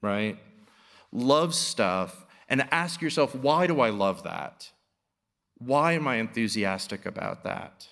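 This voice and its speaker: Against a quiet background, a man talks at a very slow pace with lively intonation. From New York City. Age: 50s. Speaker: artist and professor; professor. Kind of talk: public lecture. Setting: stage with audience. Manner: halting, many fillers. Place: hall. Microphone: podium.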